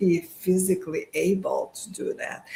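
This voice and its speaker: A woman talks at a fairly slow pace and a medium pitch. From Bulgaria. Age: 50s. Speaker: medical professional. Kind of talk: interview answer.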